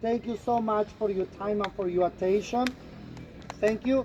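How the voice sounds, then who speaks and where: A man's high voice moves at a moderate speed while background noise is clearly heard. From Yucatán, Mexico (Mayan community). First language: Mayan (Yucatec). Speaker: tour guide. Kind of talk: guided tour talk. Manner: animated.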